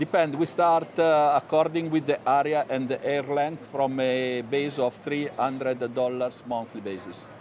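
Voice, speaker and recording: A man with an Italian accent, fairly high pitch, ordinary pitch variation and moderate pace over noticeable background noise. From Italy. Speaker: hair loss company executive. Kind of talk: TV business interview. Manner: halting.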